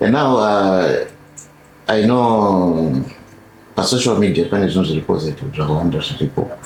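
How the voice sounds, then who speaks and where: Speech in a Zimbabwean accent comes at a fairly slow pace with lively intonation and long, frequent pauses. Noticeable background noise is present. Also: man, fairly low pitch for a man. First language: Shona. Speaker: podcast host. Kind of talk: interview.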